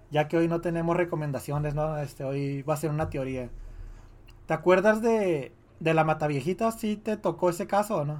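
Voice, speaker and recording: This man has a plain, everyday voice, a fairly high pitch, ordinary pitch variation and a moderate pace. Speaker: podcast co-host. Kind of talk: casual chat.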